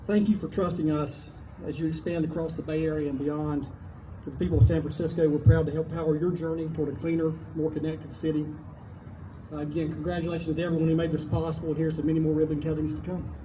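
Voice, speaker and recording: In a room with audible echo, a man talks at a very fast pace, his fairly high pitch flat and monotone. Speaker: company executive. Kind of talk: prepared speech. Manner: some hesitations and self-corrections.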